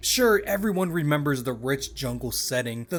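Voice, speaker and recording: A man speaks at a moderate pace with ordinary pitch variation, noticeable background noise behind him. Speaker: gaming video essayist. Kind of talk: documentary-style narration.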